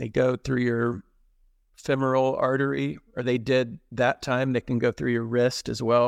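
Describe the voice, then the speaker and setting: An unremarkable speaking voice from a man with an American accent, medium pitch, fairly even intonation and a fairly slow pace, in a dry, close sound with no echo. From Texas. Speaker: heart attack survivor. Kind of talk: personal story in a casual interview.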